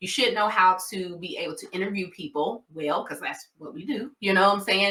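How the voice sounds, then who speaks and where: With a Southern US accent, a woman talks at a fairly quick pace in a medium pitch, showing ordinary pitch variation and big swings in loudness. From US South. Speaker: nurse practitioner and diabetes educator. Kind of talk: educational talk. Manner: casual conversational.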